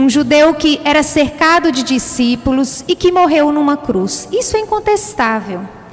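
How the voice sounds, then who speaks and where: A woman speaks in a high voice with a strong Minas Gerais accent, her pitch swinging very widely. Noticeable background noise runs underneath. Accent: strong mineiro (Minas Gerais). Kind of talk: sermon.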